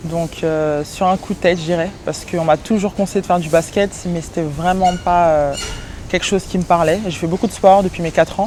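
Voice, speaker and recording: Noticeable background noise sits behind a woman with a fairly low pitch. She speaks at a fairly quick pace with fairly even intonation. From France, Paris region. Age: 20s. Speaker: professional basketball player. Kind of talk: interview answers. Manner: hesitant, many fillers.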